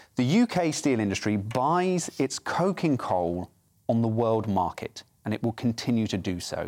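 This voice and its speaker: A man's unremarkable speaking voice, medium in pitch with lively intonation, in a very clean recording with a silent background. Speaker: policy researcher. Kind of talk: casual panel discussion.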